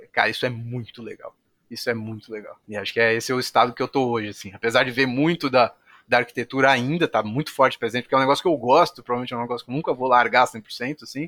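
A man with a bright, sharp tone speaks at a medium pitch with ordinary pitch variation. The very clean recording has a silent background and a dry, close sound with no echo. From São Paulo, Brazil. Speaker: tech company executive. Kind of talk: interview. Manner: casual, filler-heavy.

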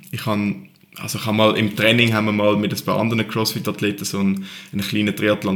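A man with a fairly low pitch talks at a very fast pace against noticeable background noise. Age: 20s. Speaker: CrossFit athlete. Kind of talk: interview. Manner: calm.

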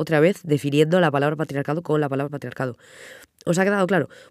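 A woman speaks with a very deep, low pitch and a dark, mellow tone. The sound is dry and close with no echo, and the recording is very clean against a silent background. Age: 20s. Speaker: podcast host. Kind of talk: casual solo podcast monologue. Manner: animated, quick to get heated.

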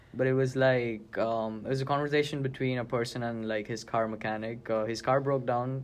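Speaking in a Gujarati accent, a man keeps a medium pitch and monotone, flat intonation with hardly any pauses. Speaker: student government member. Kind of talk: casual chat.

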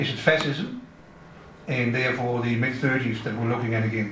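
Noticeable background noise sits behind a man at a medium pitch. His intonation stays fairly even. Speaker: audience member asking question. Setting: in-person event with audience.

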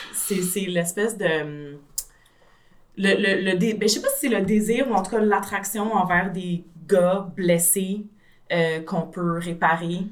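A woman speaks very slowly in a Quebec accent at a medium pitch, with ordinary pitch variation, long and frequent pauses, and audible room echo. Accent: Québécois French. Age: 30s. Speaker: translator. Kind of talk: casual chat.

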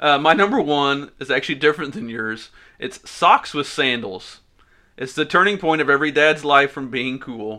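Here is a man with an unremarkable speaking voice, fairly high in pitch. He moves at a moderate pace with ordinary pitch variation. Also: big swings in loudness. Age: 30s. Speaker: podcast co-host. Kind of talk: casual chat.

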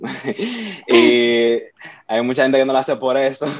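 A man speaking at a fairly slow pace with fairly even intonation. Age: young. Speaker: church worship musician. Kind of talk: casual chat.

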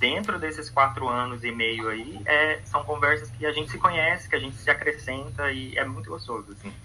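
Against noticeable background noise, a man talks at a moderate pace and medium pitch with hardly any pauses, ordinary pitch variation and big swings in loudness. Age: 20s. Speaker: podcast guest. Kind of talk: casual chat. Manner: halting.

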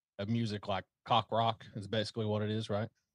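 A man with a Southern US accent speaks at a moderate pace. The sound is dry and close with no echo, against a quiet background. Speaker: gun channel creator. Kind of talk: casual chat.

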